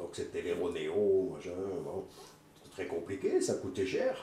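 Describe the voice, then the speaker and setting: With audible room echo, a man speaks at a very slow pace. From Belgium. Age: 60s. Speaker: political activist. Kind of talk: testimony.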